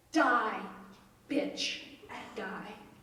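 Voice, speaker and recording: A woman's voice over noticeable background noise. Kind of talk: live storytelling performance.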